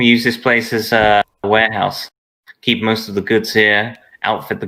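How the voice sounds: The speaker reads in a natural reading voice with a quiet background.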